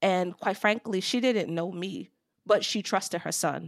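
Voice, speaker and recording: A woman talks at a moderate pace against a silent background on a very clean recording. The sound is dry and close, with no echo. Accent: New York. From New York, Long Island. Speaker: HR executive. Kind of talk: interview.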